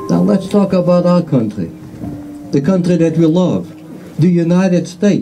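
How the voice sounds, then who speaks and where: With music in the background and audible room echo, a man with a high pitch speaks at a moderate pace. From Lithuania. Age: 70s. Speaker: Holocaust survivor. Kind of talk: public speech.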